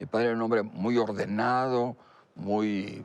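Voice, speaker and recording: A man at medium pitch speaking at a very slow pace against a quiet background. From Mexico, Monterrey. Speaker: telecom business founder. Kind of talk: interview. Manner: halting.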